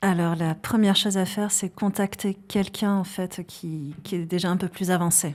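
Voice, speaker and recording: A woman speaks in a flat monotone at a moderate pace and medium pitch, with a slight Basque accent, hardly any pauses, and a very clean recording over a silent background. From French Basque Country, countryside. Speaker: psychologist and founder of an assessment tool. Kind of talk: podcast interview. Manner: hesitant, many fillers.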